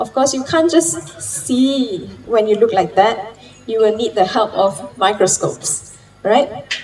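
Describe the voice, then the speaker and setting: Fairly slow delivery with very wide pitch swings and light background noise. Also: woman, fairly high pitch for a woman. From Penang, Malaysia; Malaysia. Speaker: marine science lecturer. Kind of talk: conference talk. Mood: friendly, explanatory. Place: garden. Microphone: handheld.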